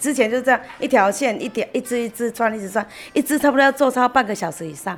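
A woman talks at a very fast pace with a Taiwanese accent. Her pitch is high, with ordinary variation. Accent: Taiwanese-accented Mandarin. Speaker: craftsman's daughter. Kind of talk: interview.

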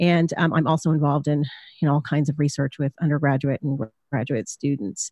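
A fairly quick pace on a very clean recording with a silent background. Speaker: psychology professor and podcaster. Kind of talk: interview.

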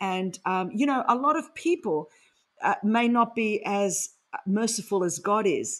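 A woman with an Australian accent, an animated tone and a somewhat breathy voice at a fairly slow pace. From Sydney, Australia. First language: Greek. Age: 50s. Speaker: author and speaker. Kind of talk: interview.

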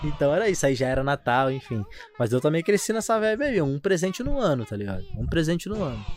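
A man talks at a very fast pace, his fairly high pitch moving in very wide swings. Noticeable background noise is present. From São Gonçalo, Rio de Janeiro. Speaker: podcast host. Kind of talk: casual chat. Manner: animated.

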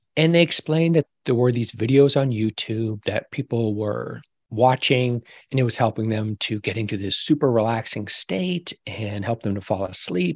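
A man with an ordinary speaking voice talks at a moderate pace and a medium pitch, with ordinary pitch variation. The sound is dry and close, with no echo. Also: quiet background. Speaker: ASMR expert and whisper podcaster. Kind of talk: interview answers, explaining. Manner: gentle, calm whisper.

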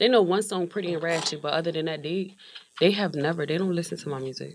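A woman speaks with a very deep, low pitch. Her voice carries vocal fry. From Wilmington, Delaware. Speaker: rapper. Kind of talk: casual chat.

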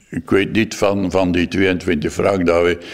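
Noticeable background noise under a fairly slow delivery. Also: man. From West Flanders, Belgium. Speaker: former foster parent. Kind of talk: interview testimony.

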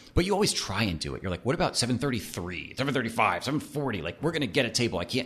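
At a fairly quick pace and with hardly any pauses, a man speaks at medium pitch with vocal fry and very wide pitch swings. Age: 40s. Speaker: restaurateur. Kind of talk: interview conversation.

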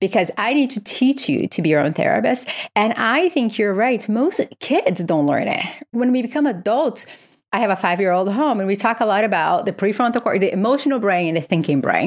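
A woman talks at a fairly quick pace with a fairly high pitch. Her pitch swings very widely while her loudness stays very even. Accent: Portuguese. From Brazil. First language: Portuguese. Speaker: psychiatry professor and author. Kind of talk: interview.

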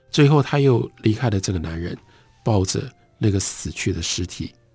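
With music in the background, a man speaks in a calm tone at a fairly low pitch and moderate pace, his pitch swinging very widely. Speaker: radio book host. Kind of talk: radio literary talk; literary audiobook reading, narrating a story excerpt. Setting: radio broadcast studio. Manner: measured, storytelling narration; formal, calm, fluent.

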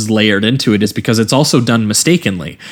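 A man talks at a very fast pace with ordinary pitch variation. Noticeable background noise runs under his voice. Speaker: podcast host. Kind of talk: casual podcast discussion.

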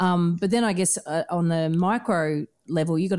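A woman talks with an Australian accent at a fairly low pitch and fairly even intonation. The background is quiet. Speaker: podcast host and buyer's agent. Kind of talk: interview.

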